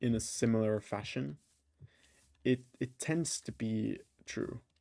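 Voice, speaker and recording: A man talks at a fairly slow pace, his pitch medium with ordinary variation. Music plays in the background. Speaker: gaming YouTuber. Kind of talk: casual gameplay commentary. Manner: halting, many fillers and restarts.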